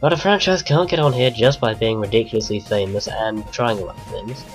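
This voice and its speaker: A man with a British accent talks very fast with lively intonation. Music plays in the background. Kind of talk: casual game countdown commentary.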